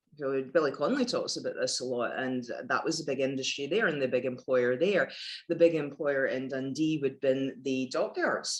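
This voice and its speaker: A woman speaks with a Glasgow accent. Her pitch is very deep and low, with ordinary variation. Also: moderate pace. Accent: west of Scotland (Glasgow area). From Scotland, Paisley near Glasgow. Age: 50s. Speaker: former lawyer turned yoga teacher. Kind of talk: casual interview.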